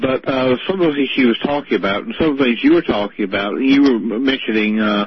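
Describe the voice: Talking at a fast pace, a man shows ordinary pitch variation. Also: medium pitch for a man.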